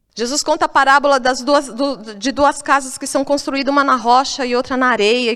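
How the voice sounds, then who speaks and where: Her pace is moderate. The woman's voice is high. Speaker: pastor. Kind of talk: sermon.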